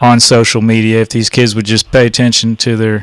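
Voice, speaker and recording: A man with a medium pitch speaks in a Texan accent. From Texas, Dallas. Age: 60s. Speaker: radio host. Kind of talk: casual chat.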